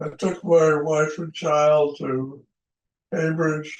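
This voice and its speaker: A man with a fairly high pitch speaks at a very slow pace in a monotone, flat intonation. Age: 80s+. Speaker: retired aeronautical engineer. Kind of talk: interview answer.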